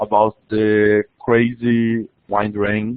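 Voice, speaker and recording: A man with a Portuguese accent. His pitch sits fairly low. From Brazil. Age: 20s. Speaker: international student. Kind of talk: webinar presentation. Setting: online webinar. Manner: halting, many restarts.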